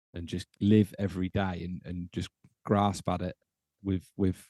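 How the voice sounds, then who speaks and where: A man with a British accent speaks in a dark, mellow tone. The sound is dry and close, without any echo. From UK. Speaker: podcast host, former air force serviceman. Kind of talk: casual interview chat.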